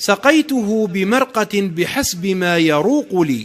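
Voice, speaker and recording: Here a man talks at a very slow pace. His pitch varies in an ordinary way. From Algeria. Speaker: poet. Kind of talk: poetry reading.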